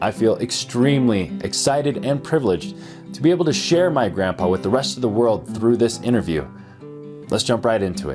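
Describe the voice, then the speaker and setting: A man's medium-pitched voice with very wide pitch swings, a fairly quick pace, and music in the background. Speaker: podcast host. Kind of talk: podcast intro.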